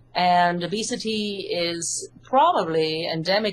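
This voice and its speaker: A woman's fairly low voice with an English accent. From UK. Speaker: hypnotherapist and author. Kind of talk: interview.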